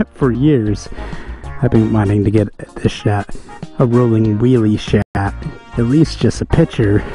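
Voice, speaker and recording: At a moderate pace, a man speaks with a dry sound with no echo while faint music plays in the background. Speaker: motorcycle vlogger. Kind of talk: casual vlog chat. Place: motorbike. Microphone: helmet.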